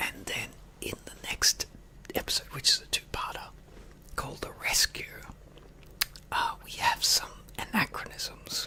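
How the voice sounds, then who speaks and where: A man whispers at a fairly slow pace, stopping for long pauses often. His loudness swings widely, and background noise is noticeable. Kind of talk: ASMR casual talk. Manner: whispered.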